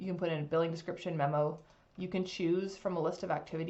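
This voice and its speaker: Speaking very fast, a woman keeps her intonation fairly even. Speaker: legal software consultant. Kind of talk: software demo tutorial. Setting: screen recording. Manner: casual, many fillers.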